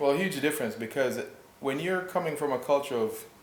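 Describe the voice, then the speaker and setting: Audible room echo surrounds a man with a fairly high voice. He talks at a fairly quick pace with lively intonation. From Jamaica, Kingston; moved to Canada as a child. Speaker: health and wellness practitioner. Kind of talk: interview.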